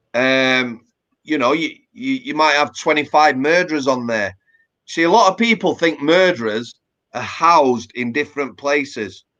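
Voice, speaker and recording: A man with a Yorkshire accent, fairly high pitch, bright and sharp tone, lively intonation and a moderate pace. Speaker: former prison officer. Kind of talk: casual interview chat. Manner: conversational with hesitations.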